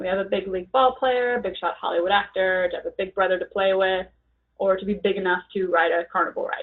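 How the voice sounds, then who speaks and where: A woman in an ordinary speaking voice talks fairly quickly at a medium pitch with ordinary pitch variation. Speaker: exam item-writing trainer. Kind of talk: training webinar. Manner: casual, informal.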